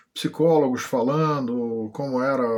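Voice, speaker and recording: A man speaks with fairly even intonation. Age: 60s. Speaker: vlogger. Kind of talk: personal testimony. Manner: halting, many fillers.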